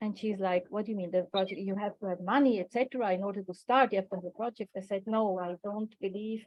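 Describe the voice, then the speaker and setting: A woman speaks with a non-native accent at a medium pitch. Her intonation stays fairly even. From Switzerland. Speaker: coach and workshop facilitator. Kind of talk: online workshop talk. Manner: hesitant, many fillers.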